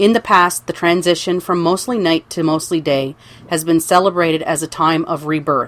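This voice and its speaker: At a moderate pace, a woman talks in a fairly low pitch. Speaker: adult vlogger. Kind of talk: vlog narration. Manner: monotone.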